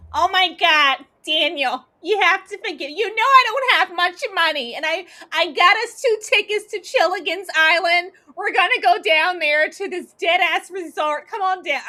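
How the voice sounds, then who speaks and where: A shrill, whiny put-on character voice with a whiny tone, at a moderate pace. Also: woman, extremely high pitch for a woman. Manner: annoying, whiny.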